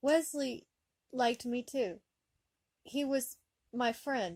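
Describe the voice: A woman puts on a shaky character voice, pitched high. She speaks at a fairly slow pace.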